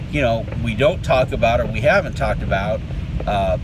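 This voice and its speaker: A man talks at a moderate pace, with noticeable background noise and a dry sound with no echo. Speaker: video creator. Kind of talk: casual vlog chat. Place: car. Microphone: phone near.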